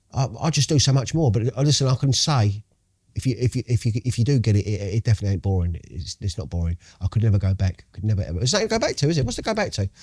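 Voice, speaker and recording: This man talks very fast in an animated tone, his medium-pitched, somewhat breathy voice full of lively intonation and recorded dry and close with no echo. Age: 60s. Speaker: recovering addict. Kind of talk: podcast interview.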